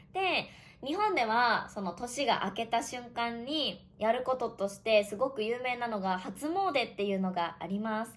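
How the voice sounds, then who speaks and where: Her voice is a woman's, fairly high in pitch with lively intonation. She speaks at a fairly slow pace. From Japan. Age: 20s. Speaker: online Japanese teacher. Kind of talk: casual podcast talk for Japanese learners. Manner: casual.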